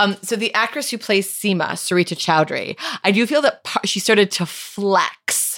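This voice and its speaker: In a plain, everyday voice, a woman with an American accent speaks at a moderate pace with ordinary pitch variation. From USA. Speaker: comedian. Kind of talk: casual chat.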